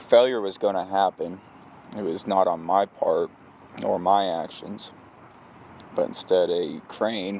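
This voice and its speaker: Speaking at a fairly slow pace with long, frequent pauses, a man is heard over noticeable background noise. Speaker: crane operator, vlogger. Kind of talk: casual vlog monologue.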